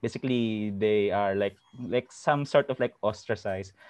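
A man's normal speaking voice, fairly low in pitch, at a moderate pace with ordinary pitch variation. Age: 30s. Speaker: former office worker. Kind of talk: casual chat.

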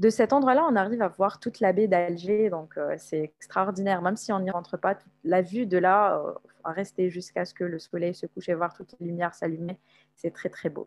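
A woman talks at a moderate pace in a medium pitch with ordinary pitch variation. Hers is an unremarkable speaking voice, dry and close with no echo. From Algeria, Algiers. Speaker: content analyst, traveler. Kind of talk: casual interview.

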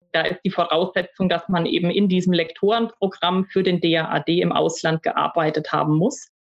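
A woman's fairly low-pitched voice with hardly any pauses. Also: fairly even intonation, moderate pace, very even loudness. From Germany. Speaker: university staff, former German lecturer in Russia. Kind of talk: interview. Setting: home office recording.

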